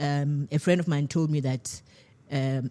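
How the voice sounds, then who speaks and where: A woman with a South African accent has a very deep, low pitch and a dark, mellow tone. The recording is very clean, with a silent background. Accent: South African English with a polished twang. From South Africa, Eastern Cape. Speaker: TV and radio producer. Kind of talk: radio interview. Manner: animated.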